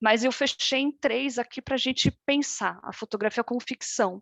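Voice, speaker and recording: A woman uses ordinary pitch variation, heard with a dry, close sound, no echo and a quiet background. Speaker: fine art photographer and artist. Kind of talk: online workshop presentation. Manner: halting, many repetitions.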